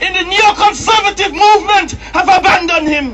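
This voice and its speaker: Over loud background noise, a man talks at an extremely high pitch with ordinary pitch variation. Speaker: protest speaker and campaigner. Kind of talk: impassioned open-air rally speech, hammering short repeated slogans. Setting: outdoors at a street protest addressing crowds. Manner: forceful and declamatory, repeating lines for crowd emphasis; occasionally stumbling and repeating words mid-flow. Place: street.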